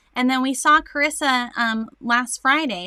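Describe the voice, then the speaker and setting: A woman speaks in a bright, sharp tone at a moderate pace, with ordinary pitch variation. The sound is dry and close, with no echo. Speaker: morning show co-host. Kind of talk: casual chat.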